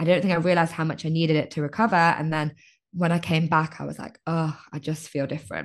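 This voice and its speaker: Against a quiet background, a woman with a British accent and a very deep, low pitch talks at a fairly quick pace. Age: 30s. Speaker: life coach. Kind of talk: casual chat. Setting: video call.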